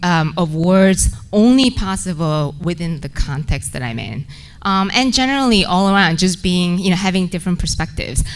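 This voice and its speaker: Speaking with a Korean accent, this voice moves at a moderate pace with lively intonation. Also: woman. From South Korea. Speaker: research associate director. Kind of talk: personal storytelling to an audience. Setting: stage at a podium. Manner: halting, with many fillers.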